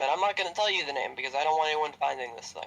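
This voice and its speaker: Bright and sharp in tone, a man speaks with a fairly high pitch and ordinary pitch variation. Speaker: YouTuber and streamer. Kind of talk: casual chat. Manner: loud. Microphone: voice usually too quiet on recordings.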